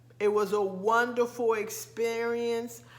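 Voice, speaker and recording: This woman's voice is fairly high in pitch, and she talks at a very slow pace. Room echo is audible. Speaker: lifestyle vlogger. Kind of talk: casual vlog talk. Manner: hesitant, many fillers.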